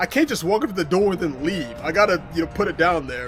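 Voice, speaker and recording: Loud and very fast, the voice carries lively intonation over music in the background. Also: man. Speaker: delivery driver and YouTuber. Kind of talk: casual commentary reacting to comments.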